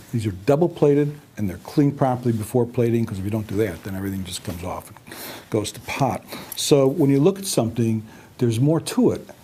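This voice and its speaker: Talking very fast over noticeable background noise, a man at a medium pitch uses lively intonation, his loudness swinging widely. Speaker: company founder and president. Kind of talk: product explanation to camera. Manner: soft-spoken, quiet.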